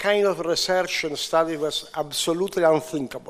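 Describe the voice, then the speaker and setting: A man speaks with a Sicilian accent. His pace is fairly slow and his intonation fairly even. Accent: Italian (Sicilian) accent in English. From Sicily, Italy. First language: Italian. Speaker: physician, IVF pioneer. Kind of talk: conference speech. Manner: halting, many hesitations.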